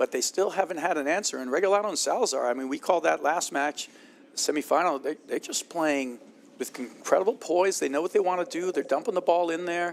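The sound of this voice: A man speaks with vocal fry at a fairly high pitch for a man. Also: ordinary pitch variation, fairly quick pace.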